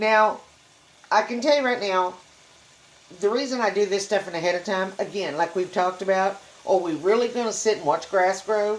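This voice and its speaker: With a Texan accent, a woman talks at a moderate pace and medium pitch with ordinary pitch variation. She leaves long, frequent pauses, and background noise is noticeable. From Texas. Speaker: cooking channel host. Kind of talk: cooking tutorial. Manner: casual, conversational.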